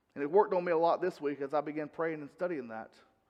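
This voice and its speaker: A man talks with a North Carolina accent. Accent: Southern US (North Carolina). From North Carolina, US South. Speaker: pastor. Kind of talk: sermon. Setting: church.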